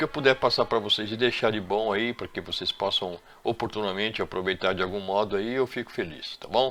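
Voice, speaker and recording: The tone is bright and sharp, and the delivery moves at a fairly quick pace. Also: man, very clean recording, silent background. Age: 60s. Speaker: electrician and CCTV installer. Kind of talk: tutorial. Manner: halting.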